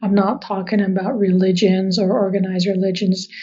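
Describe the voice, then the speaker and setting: Somewhat breathy speech at a moderate pace with an American accent. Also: woman. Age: 50s. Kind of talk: interview.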